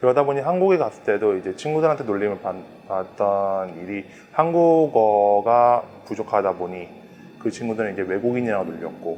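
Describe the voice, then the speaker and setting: A plain, everyday voice from a man, fairly low in pitch, at a moderate pace with lively intonation. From Thailand (Bangkok), Korean family. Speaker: Korean grocery store owner. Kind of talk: interview testimony.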